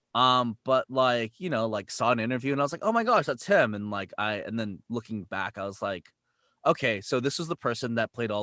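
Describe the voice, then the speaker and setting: A man talks at a fairly quick pace in a medium pitch with ordinary pitch variation. His tone is bright and sharp, and the sound is dry and close with no echo. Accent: Californian. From US West Coast, San Jose, California. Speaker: voice actor. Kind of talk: casual interview chat. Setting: video call.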